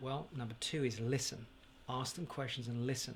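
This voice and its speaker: A man's somewhat breathy voice at a medium pitch. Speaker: property investment educator. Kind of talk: direct-to-camera advice video. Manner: slow.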